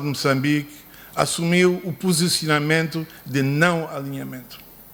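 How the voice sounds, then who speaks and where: Speaking at a fairly slow pace with a non-native accent, a man uses a fairly high pitch and ordinary pitch variation. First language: not Portuguese (speaking Portuguese). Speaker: son of the book's subject, speaker. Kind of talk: formal speech. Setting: book launch ceremony. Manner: halting.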